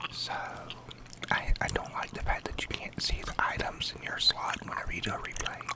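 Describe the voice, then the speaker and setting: A whispering voice with a relaxed tone is heard over noticeable background noise. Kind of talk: casual talk to camera, gameplay commentary. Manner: soft-spoken, relaxed.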